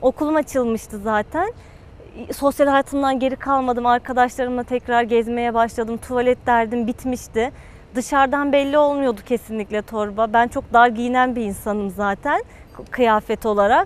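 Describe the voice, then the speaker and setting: Delivered at a moderate pace with fairly even intonation, the voice sounds dry, with no echo. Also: woman, high pitch for a woman. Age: 20s. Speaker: patient, university student. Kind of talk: testimony. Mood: positive, relieved. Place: garden.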